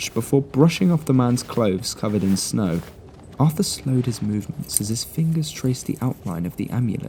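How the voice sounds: Lively intonation in a natural reading voice.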